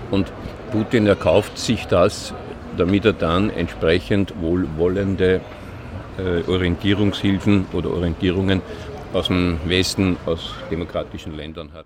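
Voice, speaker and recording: A man speaks with an Austrian accent at a fairly slow pace, his pitch very deep and low. His intonation stays fairly even over noticeable background noise. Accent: clear Austrian dialect. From Austria, Linz, Upper Austria. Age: 60s. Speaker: retired police digital forensics investigator. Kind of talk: interview. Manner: talkative.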